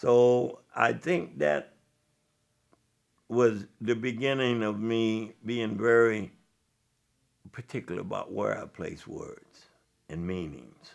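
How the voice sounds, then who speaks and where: A man with an American accent talks at a very slow pace in a medium pitch, with lively intonation, big swings in loudness, and long, frequent pauses. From Illinois (Joliet). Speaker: jazz historian and storyteller. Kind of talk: interview. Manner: reflective.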